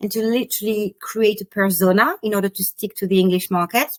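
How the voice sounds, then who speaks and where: A woman talks at a fairly quick pace. She has a slight French accent. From France. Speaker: spiritual teacher and business mentor. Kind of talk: podcast interview.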